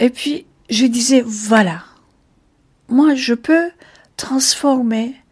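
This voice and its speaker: At a very slow pace, a somewhat breathy voice gets its words out. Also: woman. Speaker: jazz singer. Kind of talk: interview. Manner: halting.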